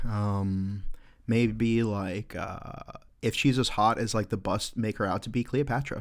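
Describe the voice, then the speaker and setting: A man with an American accent and an unremarkable speaking voice at medium pitch, in a very clean recording with a silent background. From Florida. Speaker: podcast co-host. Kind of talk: casual banter, comedy podcast.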